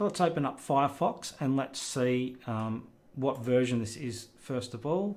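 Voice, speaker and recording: A man with an Australian accent speaks at a medium pitch, with ordinary pitch variation. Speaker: tech youtuber. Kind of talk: screen recording tutorial. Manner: casual, hesitant with fillers.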